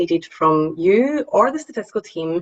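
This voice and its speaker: The speaker has a strong Scottish accent and talks at a moderate pace. The pitch swings very widely. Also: woman. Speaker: statistician. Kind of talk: presentation. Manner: hesitant, frequent ums.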